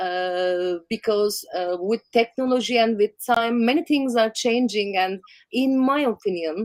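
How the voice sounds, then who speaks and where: A woman with a Turkish accent speaks very slowly at a fairly high pitch, her voice making very wide pitch swings. The sound is dry and close with no echo. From Turkey. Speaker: documentary photographer. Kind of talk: interview. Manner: halting.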